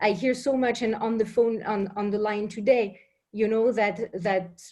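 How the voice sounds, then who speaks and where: Speaking at a fairly slow pace, a woman with a French accent uses a fairly high pitch and fairly even intonation. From France. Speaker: business intelligence professional. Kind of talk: question to panel.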